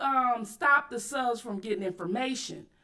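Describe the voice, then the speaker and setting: A woman raises and projects her voice, bright and sharp in tone, at a moderate pace. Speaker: YouTube commentary host. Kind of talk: livestream commentary. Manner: loud; aggressive tone.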